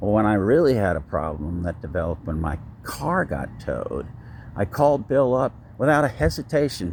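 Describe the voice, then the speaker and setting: Vocal fry, very wide pitch swings and a fairly quick pace. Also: man, fairly low pitch for a man. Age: 70s. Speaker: vlogger. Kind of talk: personal vlog monologue. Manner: halting, many fillers.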